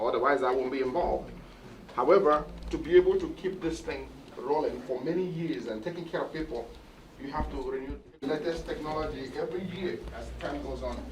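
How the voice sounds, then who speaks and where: Fairly quick speech from a man amid noticeable background noise and audible room echo. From Nigeria. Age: 60s. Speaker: cardiologist. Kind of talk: interview at hospital opening.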